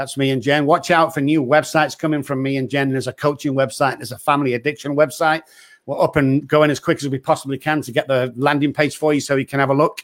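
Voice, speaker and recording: With an English accent, a man talks at a very fast pace, his fairly high pitch held in monotone, flat intonation. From England. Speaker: addiction doctor and show host. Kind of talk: podcast hosting and interview.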